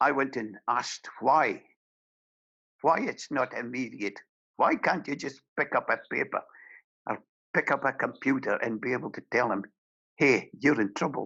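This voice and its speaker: A man with a fairly high pitch and a bright, sharp tone speaks at a moderate pace with ordinary pitch variation. He leaves long, frequent pauses against a quiet background. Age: 70s. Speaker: domestic abuse campaigner. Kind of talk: speech. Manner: impassioned.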